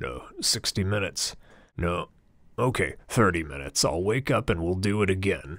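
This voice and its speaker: A man puts on a raspy character voice at a fairly low pitch, speaking at a moderate pace with ordinary pitch variation on a very clean recording with a silent background. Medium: read story. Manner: casual, rambling, crude.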